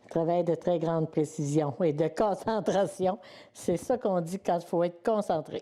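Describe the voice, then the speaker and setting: A woman speaks at a fairly slow pace in a fairly low voice. Her tone is dark and mellow, with ordinary pitch variation. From Quebec, Lotbinière region. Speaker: weaver, artisan. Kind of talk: explanatory interview. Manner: hesitant, many filler words.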